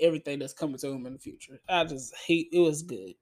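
This is a normal speaking voice. The recording is very clean, with a silent background. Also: man. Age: 20s. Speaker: movie review podcaster. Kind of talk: solo movie review monologue. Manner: casual, conversational.

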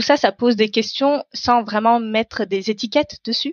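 Fairly even intonation marks this woman's speech. She talks at a fairly slow pace. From Paris suburbs, France. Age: 30s. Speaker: climate activist and entrepreneur. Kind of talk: interview. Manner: hesitant, many fillers.

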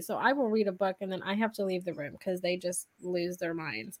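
A woman's animated voice at a fairly quick pace. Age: 30s. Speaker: podcast host. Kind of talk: casual chat.

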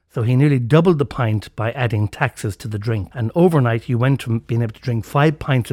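In an Irish accent, a man talks at a fairly quick pace and medium pitch, somewhat breathy, on a very clean recording with a silent background. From Ireland. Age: 60s. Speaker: podcast host. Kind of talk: storytelling monologue.

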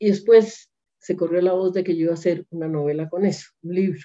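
A woman speaks in a dark, mellow tone at a fairly low pitch. Her intonation is fairly even and her pace moderate. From Colombia, Bogotá. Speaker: novelist. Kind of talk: interview.

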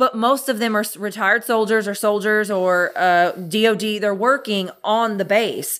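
A woman's fairly high, animated voice at a moderate pace, with hardly any pauses. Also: very clean recording, silent background. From Clarksville, Tennessee. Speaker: podcast host. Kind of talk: casual chat. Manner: loud, animated.

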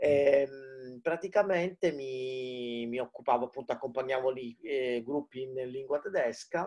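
This man has an unremarkable speaking voice at a medium pitch. His pitch varies in an ordinary way, and he talks at a fairly slow pace. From Palermo, Sicily. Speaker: digital marketing expert and startup mentor. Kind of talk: casual interview chat. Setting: video call from home. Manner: informal, chatty, jokes.

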